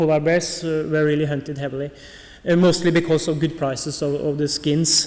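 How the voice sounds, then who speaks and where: There is noticeable background noise and audible room echo as a man talks at a fairly high pitch. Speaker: polar bear researcher. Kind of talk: conference talk. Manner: hesitant, many fillers.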